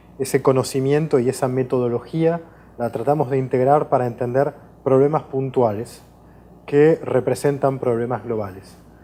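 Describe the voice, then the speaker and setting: At a moderate pace, a man with a slight Portuguese accent speaks in a dark, mellow tone with fairly even intonation. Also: medium pitch for a man. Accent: Spanish tinged with Portuguese. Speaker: professor, water law researcher. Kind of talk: interview. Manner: hesitant, many fillers.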